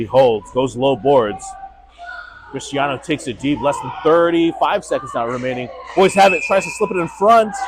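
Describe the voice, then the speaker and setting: A man speaks at a moderate pace with lively intonation and a fairly high pitch. Crowd noise can be heard behind him. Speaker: amateur play-by-play commentator for youth hockey. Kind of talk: live commentary. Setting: cold ice rink.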